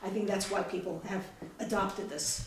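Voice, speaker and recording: Noticeable background noise sits under the speech. A woman talks amid audible room echo. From outside the US. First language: not English. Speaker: mother of a war veteran. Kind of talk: interview.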